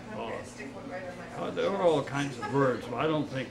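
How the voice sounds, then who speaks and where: Noticeable background noise runs under the recording. A man talks with an American accent. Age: 80s+. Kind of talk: interview answer.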